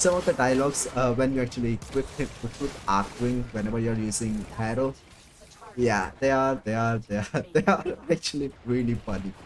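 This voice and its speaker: A man with a non-native accent, medium pitch and ordinary pitch variation, over noticeable background noise. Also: moderate pace. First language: not English. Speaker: VTuber streamer. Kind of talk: casual gaming livestream chat. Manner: halting, many repetitions; self-described broken English.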